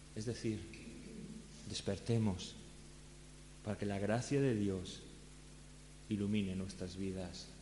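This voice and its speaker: A man with a fairly low pitch and a dark, mellow tone speaks at a very slow pace, somewhat breathy, with fairly even intonation, long, frequent pauses, and audible room echo. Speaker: pastor. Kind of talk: sermon.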